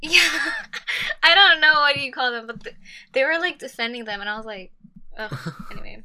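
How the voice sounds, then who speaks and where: A woman with an American accent speaks in a raised, projected voice at a high pitch and a moderate pace, with very wide pitch swings, big swings in loudness, and long, frequent pauses. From Texas. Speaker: podcast guest, activist. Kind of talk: casual chat.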